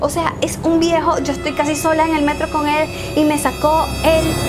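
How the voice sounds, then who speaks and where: A woman talks at an extremely high pitch over noticeable background noise. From Venezuela. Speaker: YouTuber. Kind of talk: story time talk to camera. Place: home room.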